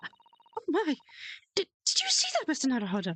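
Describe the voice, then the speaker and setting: In a put-on character voice, a woman talks at a moderate pace, squeaky and high-pitched, her pitch swinging very widely, with a dry, close sound and no echo. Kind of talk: period English gentleman speech. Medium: virtual streamer. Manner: grandiose, theatrical.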